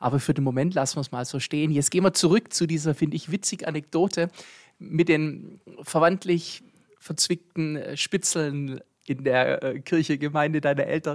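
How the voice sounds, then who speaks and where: A man with an ordinary speaking voice talks at a fairly high pitch with fairly even intonation. The sound is dry and close with no echo, a very clean recording with a silent background. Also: moderate pace. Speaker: podcast host. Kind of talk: casual interview. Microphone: new podcast equipment.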